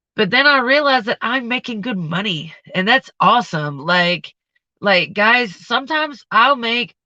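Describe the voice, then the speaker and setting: Loud and lively in intonation, a woman speaks with a bright, sharp tone. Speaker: vlogger and restaurant server. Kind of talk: casual livestream chat. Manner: casual, rambling with fillers.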